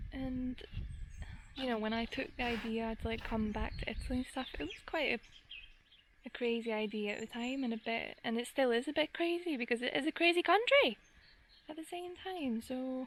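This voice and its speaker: In a Glaswegian accent, a woman speaks at a moderate pace. Her high voice has lively intonation. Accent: Glaswegian Scottish. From Scotland, Glasgow. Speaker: gardening vlogger. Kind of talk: casual vlog monologue.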